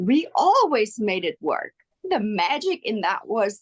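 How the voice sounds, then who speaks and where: Speaking at a very slow pace, a woman lets her pitch swing very widely, and the sound is dry and close with no echo. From South Africa. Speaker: actress. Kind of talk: interview. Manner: halting.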